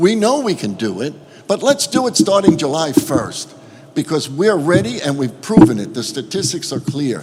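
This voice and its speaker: The speaker has a New York accent and very wide pitch swings at a moderate pace. Noticeable background noise runs underneath. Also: man, fairly high pitch for a man. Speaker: cruise line executive. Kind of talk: panel statement at roundtable.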